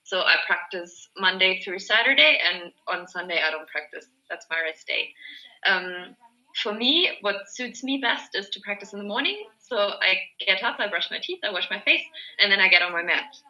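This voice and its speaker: A woman speaks with a German accent at a medium pitch. Her tone is bright and sharp. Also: ordinary pitch variation, moderate pace. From Germany. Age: 20s. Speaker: yoga teacher. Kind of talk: group video call discussion. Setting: video call.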